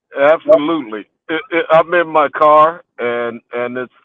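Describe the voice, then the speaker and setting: A man talks with an American accent at a fairly slow pace. His pitch variation is ordinary. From Houston, Texas. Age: 60s. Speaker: scholar and author. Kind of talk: life story interview. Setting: in a car, remote call. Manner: halting, many fillers and repeats.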